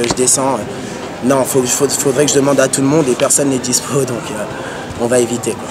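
Beneath noticeable background noise, a man talks at a medium speed. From Paris region, France. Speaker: hip-hop dancer. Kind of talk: interview. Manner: casual, hesitant with fillers. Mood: relaxed, reflective. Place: street.

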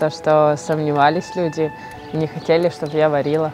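Over faint music in the background, a woman speaks with a very deep, low pitch and a dry sound with no echo. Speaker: welder. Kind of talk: interview answer. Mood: shy, smiling, modest. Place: farm machine. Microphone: lapel.

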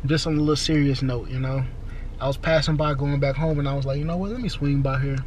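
Delivered at a very fast pace with an American accent, the speech has fairly even intonation, dry sound with no echo, and light background noise. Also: man. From Houston, Texas. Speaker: vlogger. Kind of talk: casual vlog. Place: car. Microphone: phone near.

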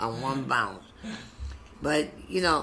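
Over light background noise, a man with an American accent speaks at a fairly slow pace. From South Bronx, New York; New York. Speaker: retired social and mental healthcare worker; interviewee. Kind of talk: oral history interview answer. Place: office. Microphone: webcam.

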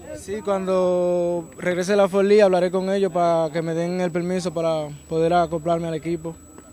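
A man with a high pitch talks at a moderate pace in a monotone, flat intonation, hardly pausing, the sound dry with no echo and light background noise. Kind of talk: interview answer. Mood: calm, modest. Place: stadium. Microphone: handheld.

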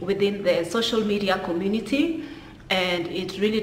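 A woman at a moderate pace, with light background noise and audible room echo. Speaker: commentary vlogger. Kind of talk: casual vlog chat. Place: home room. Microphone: phone near.

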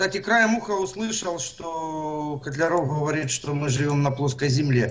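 A normal speaking voice moves at a fairly slow pace with ordinary pitch variation. It flows with hardly any pauses. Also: man, fairly high pitch for a man. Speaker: alternative earth theory presenter. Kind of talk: presentation. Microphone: video call.

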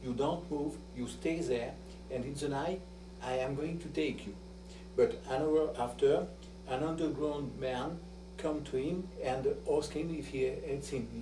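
Over noticeable background noise, a man with a French accent speaks at a fairly slow pace with long, frequent pauses. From France. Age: 60s. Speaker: son of a wartime helper. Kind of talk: interview testimony. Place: home room. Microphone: old recording.

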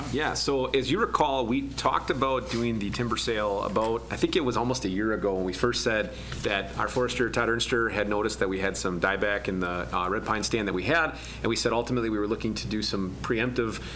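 A man speaks very fast in a fairly low voice with ordinary pitch variation over light background noise. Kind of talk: meeting report. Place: meeting room. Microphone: podium.

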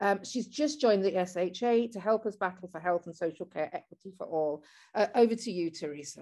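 Using a dark, mellow tone at a medium pitch, a woman talks at a fairly quick pace with lively intonation and big swings in loudness. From East Yorkshire, England. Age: 60s. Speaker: political organiser chairing meeting. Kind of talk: online meeting facilitation. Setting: video call.

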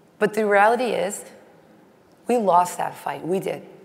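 A woman speaks with ordinary pitch variation over audible room echo. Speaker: industry association executive. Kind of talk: conference keynote speech.

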